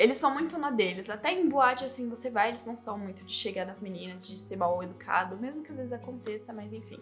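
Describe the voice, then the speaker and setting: Over music in the background, a woman with a Brazilian accent talks at a fairly quick pace with ordinary pitch variation. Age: 20s. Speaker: YouTuber. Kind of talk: casual talk to camera.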